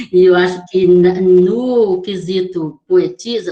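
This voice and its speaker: This woman's voice has a dark, mellow tone. Its pitch moves in an ordinary way. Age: 60s. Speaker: poet. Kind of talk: panel discussion. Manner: halting.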